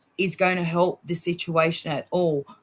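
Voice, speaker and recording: In an Australian accent, a woman talks at medium pitch with an animated tone. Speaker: vaccine-injured guest. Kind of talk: interview testimony. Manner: animated, outspoken.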